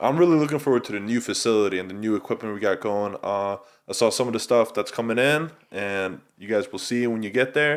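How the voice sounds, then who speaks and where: A man with medium pitch at a very fast pace, in a very clean recording with a silent background. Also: ordinary pitch variation. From Sweden, Stockholm. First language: Swedish. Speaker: athletic trainer. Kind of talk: casual chat.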